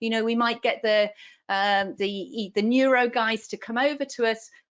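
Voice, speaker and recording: Against a quiet background, a woman speaks with a strong British accent. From UK. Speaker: neonatal nurse practitioner and clinical specialist. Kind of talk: lecture.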